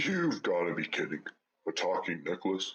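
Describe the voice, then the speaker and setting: This man uses a put-on character voice. He talks at a moderate pace. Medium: audio drama.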